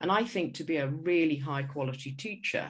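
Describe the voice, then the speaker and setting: In a southern British accent, a woman with a very deep, low pitch talks at a fairly slow pace with ordinary pitch variation over a very clean recording and a silent background. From England. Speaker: school leadership consultant, former headteacher. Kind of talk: conference presentation. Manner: hesitant with repetitions.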